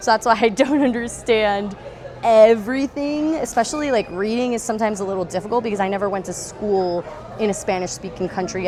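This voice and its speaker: With music in the background and audible room echo, a woman with an American accent speaks at a fairly quick pace and a medium pitch. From US Northeast, New York. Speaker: off-road vlogger. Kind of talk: casual vlog walkthrough. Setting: outdoors at an off-road expo. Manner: animated.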